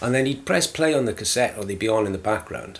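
A man's fairly low voice with ordinary pitch variation and a South Wales accent. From Wales, South Wales valleys (Aberdare). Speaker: radio DJ and music publicist. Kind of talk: casual interview.

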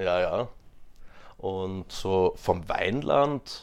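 Fairly low-pitched speech from a man, recorded very cleanly against a silent background. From Austria, Graz (Styria). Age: 20s. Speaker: interview guest. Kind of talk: casual interview. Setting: in person.

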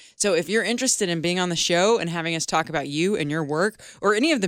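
On a very clean recording with a silent background, a woman with an unremarkable speaking voice talks at a fairly quick pace, using a fairly low pitch and ordinary pitch variation. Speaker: podcast co-host. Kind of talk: casual banter and interview.

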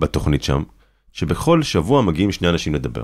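A man talks in an animated tone. Vocal fry runs through his voice. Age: 30s. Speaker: documentary filmmaker and journalist. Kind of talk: interview conversation.

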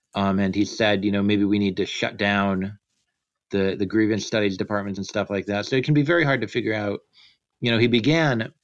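A normal speaking voice from a man, fairly low in pitch, with ordinary pitch variation, at a fairly quick pace against a quiet background. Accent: American. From United States. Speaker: philosophy graduate student and writer. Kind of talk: casual discussion.

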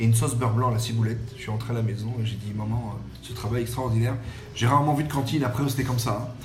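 Amid noticeable background noise and audible room echo, a man talks at a very fast pace with a medium pitch and monotone, flat intonation. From French Riviera. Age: 40s. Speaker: chef. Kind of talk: podcast interview.

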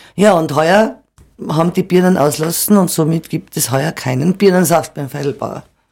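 A woman speaks in a normal speaking voice at a fairly low pitch. Her pace is moderate. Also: ordinary pitch variation. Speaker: cider farmer. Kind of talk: interview. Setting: studio.

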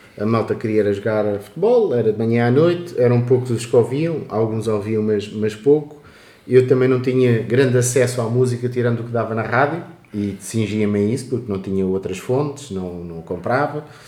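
At a moderate pace, a man speaks in a medium pitch with ordinary pitch variation and audible room echo. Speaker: podcast host. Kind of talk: casual chat.

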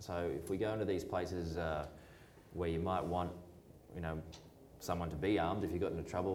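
Amid noticeable background noise and audible room echo, a man with a very deep, low voice talks at a fairly quick pace. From New Zealand. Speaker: foreign correspondent. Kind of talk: public talk. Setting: stage with audience.

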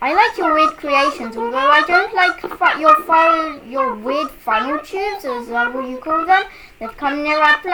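This is a put-on character voice pitched high. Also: moderate pace.

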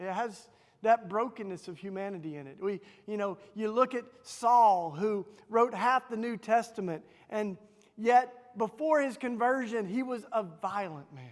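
Lively in intonation and high in pitch, a man speaks at a moderate pace with a Southern US accent. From Tennessee, US South. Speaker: author and activist, speaker. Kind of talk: sermon. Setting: church, in front of a congregation.

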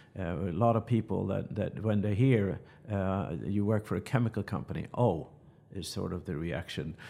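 A man speaks at a moderate pace with a Swedish accent, his pitch fairly low with ordinary variation and his tone dark and mellow. The recording is very clean, with a silent background. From Sweden. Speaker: chemical company executive. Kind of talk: business interview. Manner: halting, many repeated words.

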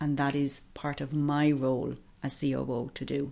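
A woman speaks in an Irish Midlands accent. Her pitch is very deep and low. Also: very clean recording, silent background. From Ireland, County Offaly. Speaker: organisation executive and public health professor. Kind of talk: interview. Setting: office.

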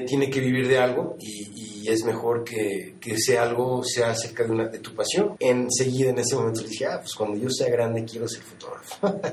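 Audible room echo and noticeable background noise around speech at a moderate pace. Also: man. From Mexico City. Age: 40s. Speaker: photographer. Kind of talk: interview. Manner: halting.

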